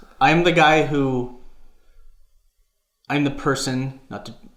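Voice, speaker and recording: The speech is very slow, broken by long, frequent pauses, with ordinary pitch variation. Audible room echo surrounds the voice. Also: man, big swings in loudness. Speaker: gaming podcast co-host. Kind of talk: casual chat. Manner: halting, stuttering.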